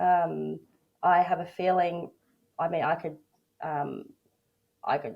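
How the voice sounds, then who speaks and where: A woman with an Australian accent and vocal fry, fairly low in pitch, fairly slow and fairly even in intonation, with long, frequent pauses. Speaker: workplace bullying advocate and coach. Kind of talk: interview testimony. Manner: halting, many fillers.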